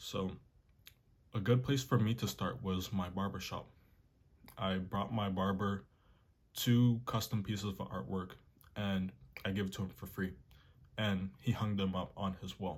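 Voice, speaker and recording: On a very clean recording with a silent background, a man with a fairly low, somewhat breathy voice speaks with fairly even intonation and long, frequent pauses. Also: fairly slow pace. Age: young. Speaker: artist and art tutorial youtuber. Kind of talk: tutorial. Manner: casual, conversational.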